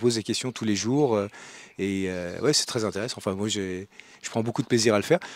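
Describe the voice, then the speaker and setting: A man at medium pitch with ordinary pitch variation, on a very clean recording with a silent background. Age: 60s. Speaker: retired executive, training participant. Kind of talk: interview testimony. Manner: halting, many hesitations.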